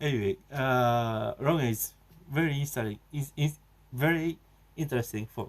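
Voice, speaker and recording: A man with a Japanese accent speaks at a medium pitch with ordinary pitch variation. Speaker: video blogger. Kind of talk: casual monologue. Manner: halting, many fillers.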